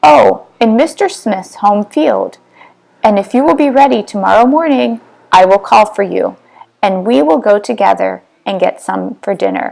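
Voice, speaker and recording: A woman performs in a put-on character voice. Her pitch is medium and her pace moderate. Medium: read story.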